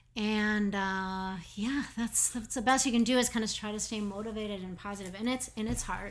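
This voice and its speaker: A woman speaks in a fairly high pitch with fairly even intonation. She has an Upper Midwest accent. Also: moderate pace, hardly any pauses. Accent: Upper Midwest American. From Minnesota, Minneapolis. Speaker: art gallery owner. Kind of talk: casual interview. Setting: studio.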